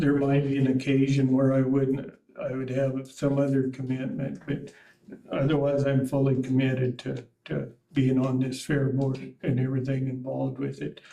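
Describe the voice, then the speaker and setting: At a moderate pace, a man with an American accent talks at a medium pitch in a monotone, flat intonation. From US, north central Montana. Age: 80s+. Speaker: board applicant, retiree. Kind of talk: interview. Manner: halting, many fillers.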